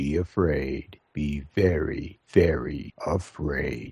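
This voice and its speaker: In a put-on character voice pitched very deep and low, a man speaks at a very slow pace. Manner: ominous, spooky.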